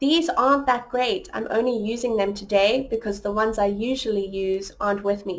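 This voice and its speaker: A woman with an American accent, fairly high-pitched for a woman, at a moderate pace with hardly any pauses and ordinary pitch variation. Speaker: online English tutor. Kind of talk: tutorial. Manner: casual. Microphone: cheap headphones, not her usual ones.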